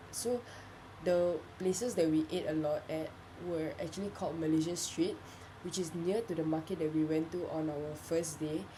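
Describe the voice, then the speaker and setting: The voice has a dark, mellow tone and is somewhat breathy, with fairly even intonation. It moves at a moderate pace against audible room echo. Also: woman, fairly low pitch for a woman. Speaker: student. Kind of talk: spoken reflection. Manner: halting.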